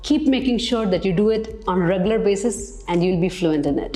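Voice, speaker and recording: Fairly quick, lively speech from a woman at medium pitch, with music in the background and audible room echo. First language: Malayalam. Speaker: English teacher. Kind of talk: tutorial.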